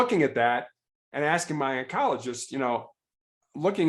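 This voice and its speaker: An ordinary speaking voice with an American accent. The intonation is lively. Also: man. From Chicago, US Midwest. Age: 60s. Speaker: cancer patient and former law enforcement officer. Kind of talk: podcast interview, personal story.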